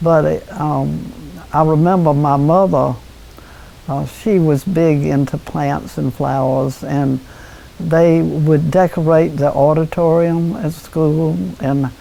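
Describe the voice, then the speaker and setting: Noticeable background noise accompanies a woman's voice. She speaks very slowly in a very deep, low pitch. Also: ordinary pitch variation. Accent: American. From North Carolina. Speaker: former town mayor. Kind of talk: interview answer. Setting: at home.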